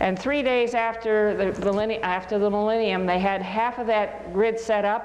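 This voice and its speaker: Audible room echo and noticeable background noise fill this recording. A woman speaks at a fairly high pitch and a moderate pace, her intonation fairly even. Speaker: lecturer. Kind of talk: lecture.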